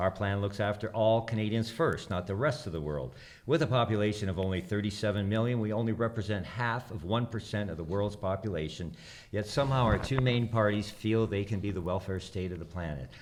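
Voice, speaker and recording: Delivered at a fairly quick pace, a plain, everyday voice shows ordinary pitch variation. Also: man, fairly low pitch for a man. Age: 60s. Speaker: election candidate. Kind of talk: prepared candidate speech. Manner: formal.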